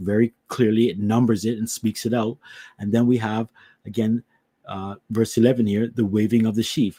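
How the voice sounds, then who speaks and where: A man's fairly low voice with a dark, mellow tone at a fairly quick pace, in a very clean recording with a silent background and a dry, close sound with no echo. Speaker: Bible teacher. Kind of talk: religious teaching.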